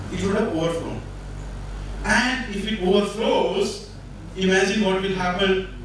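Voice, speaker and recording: A man talks at a high pitch. Light background noise and strong room echo are audible. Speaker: conference speaker. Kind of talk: lecture. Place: hall.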